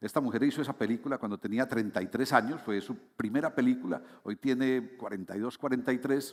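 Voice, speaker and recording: The recording is very clean, with a silent background. A man talks at a very fast pace with a medium pitch and ordinary pitch variation. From Colombia, Medellín. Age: 60s. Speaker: international consultant, invited speaker. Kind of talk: conference talk. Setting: stage with audience. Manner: conversational with frequent fillers.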